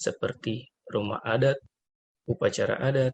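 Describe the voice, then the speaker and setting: A man speaks with a dry, close sound and no echo. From West Sumatra (Minangkabau). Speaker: civil servant trainee. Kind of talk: scripted podcast discussion.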